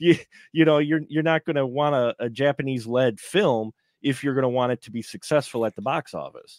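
A man with an American accent talks at a fairly quick pace, with ordinary pitch variation and big swings in loudness. The sound is dry with no echo against a quiet background. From Milwaukee, Wisconsin, US; Wisconsin. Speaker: film podcaster and panelist; film podcaster, panelist. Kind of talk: live round table film review. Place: home room. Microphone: video call.

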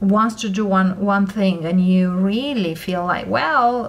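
Fairly even intonation in a woman's speech. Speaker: tarot reader. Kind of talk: tarot reading commentary. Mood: calm, gentle advice.

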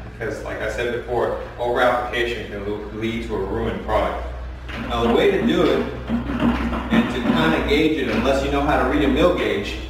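A man's voice with audible room echo and loud background noise. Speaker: floor coating contractor. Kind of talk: tutorial. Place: garage.

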